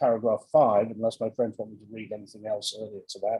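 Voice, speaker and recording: Somewhat breathy with a dark, mellow tone, the voice moves at a fairly quick pace in a dry, close sound with no echo. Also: man. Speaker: barrister. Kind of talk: courtroom submission. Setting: video call. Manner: fast.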